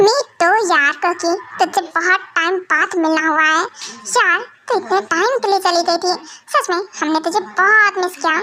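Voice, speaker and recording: Using a put-on character voice, a woman speaks at a moderate pace with an extremely high pitch. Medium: fan dub. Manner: wheedling, sulky.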